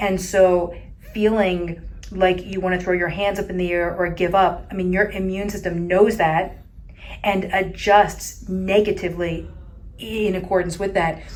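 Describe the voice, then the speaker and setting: At a fairly slow pace, a woman of medium pitch speaks in a monotone, flat intonation. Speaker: ALS treatment practitioner. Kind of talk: interview host talk.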